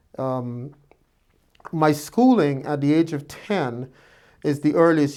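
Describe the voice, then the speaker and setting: The speaker has an American accent and fairly even intonation. The recording is very clean, with a silent background. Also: man. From Guyana, Georgetown area. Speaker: physician. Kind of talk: interview. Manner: hesitant with fillers.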